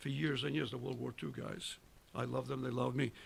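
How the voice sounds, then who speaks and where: Speaking at a moderate pace, a man has a medium pitch with vocal fry and ordinary pitch variation. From Italy. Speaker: war veteran. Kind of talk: casual chat. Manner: animated.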